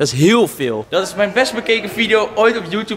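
There is light background noise behind a man with a high voice. He speaks at a moderate pace with lively intonation. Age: 20s. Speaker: YouTube vlogger; vlogger. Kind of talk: casual vlog. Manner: animated.

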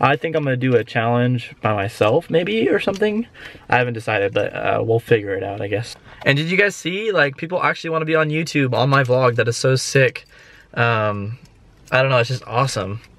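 The recording is dry and free of echo. A man speaks fairly quickly. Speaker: rideshare driver vlogger. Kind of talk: casual vlog chat.

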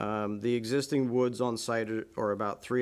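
With monotone, flat intonation, a man talks at a fairly quick pace. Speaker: site engineer. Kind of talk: technical presentation. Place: meeting room. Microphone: podium.

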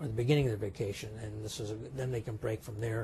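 Somewhat breathy and dark, mellow in tone, a man speaks with an American accent. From California, Sacramento. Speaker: neurologist. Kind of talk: interview. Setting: medical congress.

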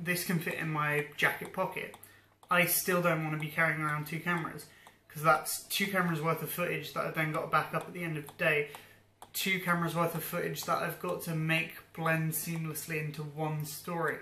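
Light background noise and audible room echo surround a man speaking at a fairly quick pace. His high voice has monotone, flat intonation. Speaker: vlogger. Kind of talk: casual vlog chat. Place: home room. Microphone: phone near.

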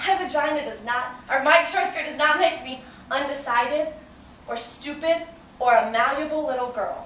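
A woman with a high pitch speaks in an angry, playful tone at a moderate pace, with ordinary pitch variation and big swings in loudness, amid audible room echo and light background noise. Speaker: actress performing a monologue. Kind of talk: theatrical monologue, defiant and impassioned, delivered as a feminist performance piece. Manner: emphatic, defiant, building from angry and pointed to playful and celebratory. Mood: defiant, assertive. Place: classroom. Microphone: camera far.

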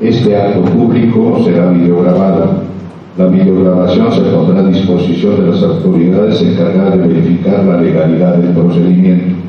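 Strong room echo surrounds speech at a moderate pace. The intonation is monotone and flat, and loudness is very even. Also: man, very deep, low pitch for a man. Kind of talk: formal procedural reading. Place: meeting room. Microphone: camera far.

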